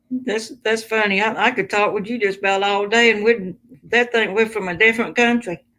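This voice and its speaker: With a bright, sharp tone and fairly high pitch, a woman speaks at a fairly quick pace in fairly even intonation. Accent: Southern US. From US South. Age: 60s. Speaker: livestream host. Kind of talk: casual chat. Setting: live stream.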